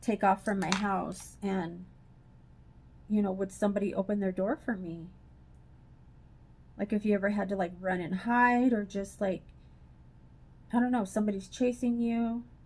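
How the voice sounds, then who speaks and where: Somewhat breathy and fairly even in intonation, a woman speaks at a moderate pace, leaving long, frequent pauses. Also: medium pitch for a woman. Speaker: beauty vlogger. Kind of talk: casual chat. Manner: chatty, filler-heavy.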